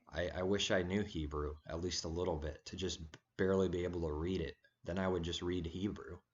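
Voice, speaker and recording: At a moderate pace, a man with a very deep, low voice speaks in a monotone, flat delivery. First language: Serbian. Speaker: religious video blogger. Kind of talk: casual monologue vlog. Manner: halting.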